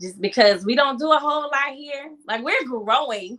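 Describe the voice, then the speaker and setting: A woman speaks with an American accent at a moderate pace. Her tone is bright and sharp. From South Carolina. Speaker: author and event organizer. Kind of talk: casual chat.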